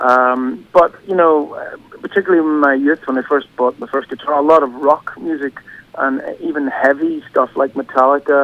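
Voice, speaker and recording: A man speaks in a Northern Irish accent at a fairly high pitch. His intonation stays fairly even. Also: moderate pace. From Northern Ireland, County Derry. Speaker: singer-songwriter. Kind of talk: radio interview. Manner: halting.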